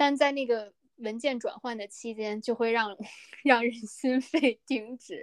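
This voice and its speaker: Fairly slow, fairly evenly intoned speech from a high-pitched woman, with big swings in loudness. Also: dry, close sound with no echo. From northern China. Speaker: podcast co-host. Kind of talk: casual chat.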